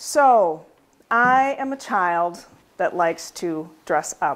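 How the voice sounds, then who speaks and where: With an American accent, the voice has a warm tone and very wide pitch swings. The pace is very slow. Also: woman, fairly low pitch for a woman. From Minneapolis, Minnesota, USA. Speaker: storyteller at a museum event. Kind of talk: live personal storytelling to an audience. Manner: warm, conversational, audience interaction. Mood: warm, humorous, nostalgic. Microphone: lapel.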